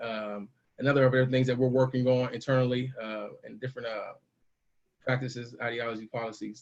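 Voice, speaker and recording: A man's medium-pitched voice, monotone and flat in intonation, at a fairly quick pace. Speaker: panelist presenter. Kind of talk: slide presentation. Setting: video call. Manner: fast.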